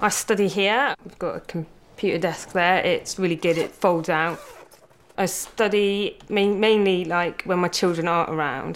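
A woman's ordinary speaking voice, medium in pitch. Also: fairly even intonation. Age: 20s. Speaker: student and classroom assistant. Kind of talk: testimony.

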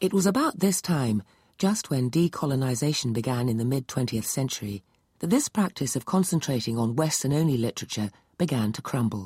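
A woman speaks at a fairly quick pace in a very deep, low voice that is somewhat breathy, her pitch swinging very widely, on a very clean recording with a silent background and a dry, close sound with no echo. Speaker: narrator presenter. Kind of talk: scripted narration.

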